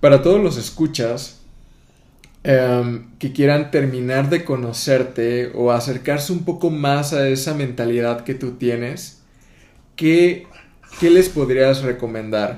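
A man's dark, mellow voice at medium pitch, very slow, with ordinary pitch variation. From southern Mexico, Tapachula near Guatemala border. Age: 20s. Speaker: podcast host. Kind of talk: casual interview chat.

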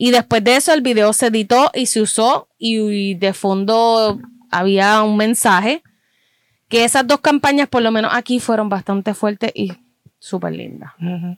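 An unremarkable speaking voice at a fairly slow pace with ordinary pitch variation, in dry, close sound with no echo. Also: woman, fairly high pitch for a woman. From Puerto Rico. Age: 30s. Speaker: fan club member. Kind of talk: casual chat.

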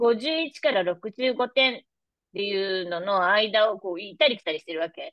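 A woman's medium-pitched voice, an ordinary speaking voice, with lively intonation, big swings in loudness and a fairly slow pace. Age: 50s. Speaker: massage therapist and menopause health coach. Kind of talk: casual interview.

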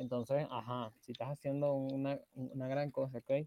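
The speaker is a man with a Venezuelan accent. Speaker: podcast co-host. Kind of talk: casual chat.

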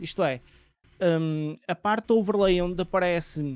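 In a dry, close recording with no echo and a silent background, a man speaks fairly slowly in a high voice with fairly even intonation. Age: 20s. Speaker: streamer. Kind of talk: casual chat. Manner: expressive, emotion shows in voice.

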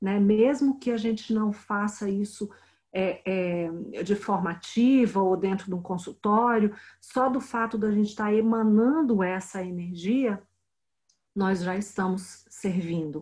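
A woman with a somewhat breathy, medium-pitched voice speaks at a fairly slow pace with ordinary pitch variation. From Brazil, Brasília. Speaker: spiritual healing teacher and translator. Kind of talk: interview.

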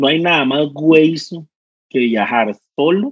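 Speaking with a Costa Rican accent, a man uses a fairly high pitch with ordinary pitch variation. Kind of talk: casual chat.

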